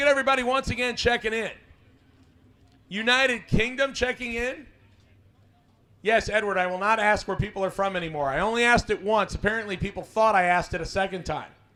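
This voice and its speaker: Raising and projecting his voice, a man with a high pitch and a bright, sharp tone speaks at a very fast pace with ordinary pitch variation and long, frequent pauses. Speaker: live stream host for drag racing event. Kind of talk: live stream commentary. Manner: energetic.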